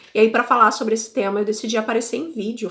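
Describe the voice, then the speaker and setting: Her fairly high-pitched voice is an ordinary speaking voice, and the woman talks at a fairly quick pace. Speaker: podcast host, language learner. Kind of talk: casual podcast monologue. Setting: video podcast recording. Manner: conversational.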